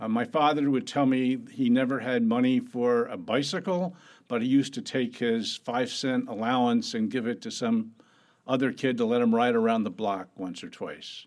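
On a very clean recording with a silent background, a man with an ordinary speaking voice talks at a moderate pace and medium pitch. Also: ordinary pitch variation. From US Northeast, Atlantic City, New Jersey. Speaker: venture capitalist. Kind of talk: interview.

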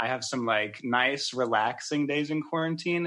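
A man with an American accent speaks in a plain, everyday voice at medium pitch and a moderate pace. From US South, Georgia. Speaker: dating contestant. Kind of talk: casual chat on a date. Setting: outdoors in the woods, on a phone.

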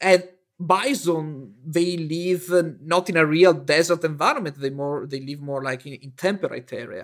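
A man with a high-pitched voice speaks with an Italian accent. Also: ordinary pitch variation, moderate pace. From Italy. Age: 30s. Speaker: paleontologist. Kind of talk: interview. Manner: halting.

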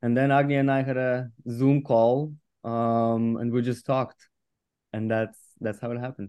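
A man's medium-pitched voice with a Russian accent, monotone and flat, at a moderate pace. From Russian Far East. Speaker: film producer. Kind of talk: interview.

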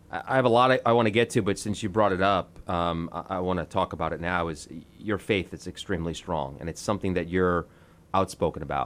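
A man's very deep, low voice with an American accent, very fast pace, and ordinary pitch variation. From New York. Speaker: podcast host. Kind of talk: interview.

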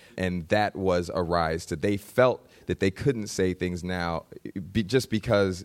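This man's voice sits at a very deep, low pitch with ordinary pitch variation. He speaks at a very slow pace. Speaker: actor. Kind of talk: live panel discussion. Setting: stage with audience.

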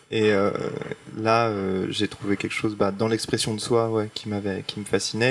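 With noticeable background noise, a man with a fairly low pitch speaks at a moderate pace and with fairly even intonation. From Paris. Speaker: illustrator, artist. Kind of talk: panel discussion. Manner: casual, hesitant.

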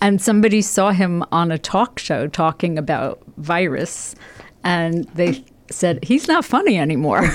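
In a normal speaking voice, the speaker moves at a fairly slow pace with lively intonation. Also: woman, fairly low pitch for a woman. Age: 60s. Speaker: stand-up comedian. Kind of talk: casual chat.

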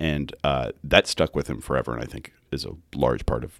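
In an American accent, a man talks at a fairly quick pace with a very deep, low pitch, vocal fry, fairly even intonation, and a dry, close sound with no echo. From Kansas. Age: 20s. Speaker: podcast producer, guest co-host. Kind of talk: casual chat.

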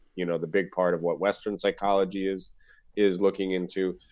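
A man's very deep, low voice with an American accent at a very fast pace. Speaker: Buddhist teacher and author. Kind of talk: casual chat.

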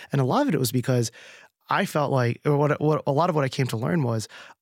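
On a very clean recording with a silent background and a dry, close sound with no echo, a man talks at a very fast pace in a New Jersey accent with ordinary pitch variation. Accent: American (New Jersey). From US East Coast, New Jersey. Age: 30s. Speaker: beverage company founder. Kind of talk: interview. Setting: studio.

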